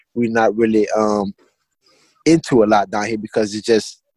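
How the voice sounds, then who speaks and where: With a dry, close sound and no echo, a man with an American accent speaks at a medium pitch and moderate pace, his intonation fairly even. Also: long, frequent pauses. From Louisiana, Assumption Parish. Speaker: clothing brand founder. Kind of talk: interview.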